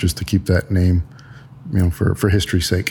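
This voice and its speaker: A man with an American accent and a very deep, low voice, dark and mellow in tone, somewhat breathy, with fairly even intonation. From San Antonio, Texas. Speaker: pediatric nurse practitioner and property developer. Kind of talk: interview. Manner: hesitant with frequent fillers.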